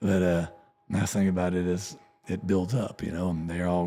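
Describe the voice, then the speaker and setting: A man talks at a moderate pace in a very deep, low pitch. His pitch varies in an ordinary way. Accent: Texan. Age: 50s. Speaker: country musician. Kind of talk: casual interview chat.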